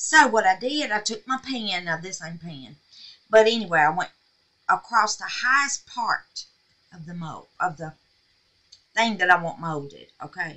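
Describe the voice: Speaking at a fairly slow pace, a woman with a fairly low pitch uses lively intonation and a bright, sharp tone.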